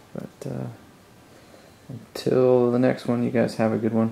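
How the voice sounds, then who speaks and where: Fairly level intonation from a male speaker. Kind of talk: casual build vlog commentary. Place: home room. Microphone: phone near.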